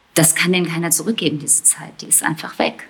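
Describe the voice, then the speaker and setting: Noticeable background noise runs under this recording. A woman speaks at a fairly quick pace and a fairly low pitch. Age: 40s. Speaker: teacher and mother. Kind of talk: casual interview.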